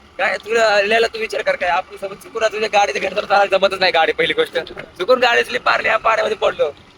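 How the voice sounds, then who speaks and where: An animated, high-pitched male voice, dry and close with no echo, over noticeable background noise. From Maharashtra, India. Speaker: vlogger. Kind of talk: casual vlog chat.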